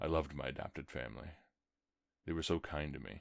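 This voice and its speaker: A man with a very deep, low pitch speaks with vocal fry and fairly even intonation. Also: very clean recording, silent background. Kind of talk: horror story reading.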